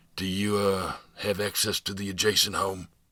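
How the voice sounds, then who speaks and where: A man uses a put-on character voice that is raspy and fairly low in pitch. He keeps a monotone, flat intonation at a moderate pace. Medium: read story. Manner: gruff, sighing, blunt.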